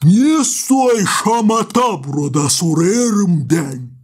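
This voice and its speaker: This put-on character voice moves at a very slow pace, pitched fairly high with very wide pitch swings. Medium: fan dub. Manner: authoritative, calm.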